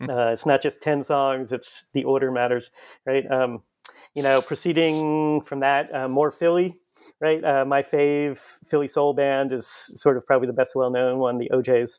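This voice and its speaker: A fairly high-pitched man at a moderate pace, fairly even in intonation, on a very clean recording with a silent background. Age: 50s. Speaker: history professor. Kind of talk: interview. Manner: hesitant, many fillers.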